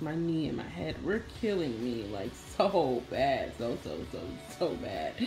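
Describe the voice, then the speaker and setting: Against noticeable background noise, a woman with a very deep, low pitch speaks at a fairly slow pace. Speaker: beauty vlogger. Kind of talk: casual vlog chat. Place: home room. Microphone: phone near.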